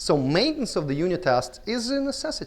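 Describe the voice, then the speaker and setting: Very wide pitch swings from a man with a Russian accent, moderate pace, very clean recording and silent background. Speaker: conference speaker. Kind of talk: conference talk. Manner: halting.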